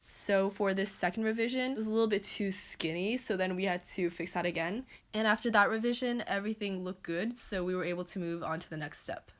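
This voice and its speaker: At a fairly quick pace with hardly any pauses and ordinary pitch variation, the speech comes through on a very clean recording with a silent background. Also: woman. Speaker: small business founder and YouTuber. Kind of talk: casual vlog explanation. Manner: fast; casual, filler-heavy.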